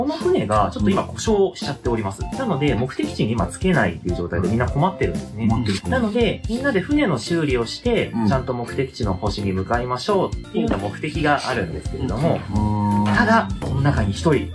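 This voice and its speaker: Clear music sounds behind the voice. The man's delivery is fairly quick. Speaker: game instructor. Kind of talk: explaining game rules. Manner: polite, clear. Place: home room.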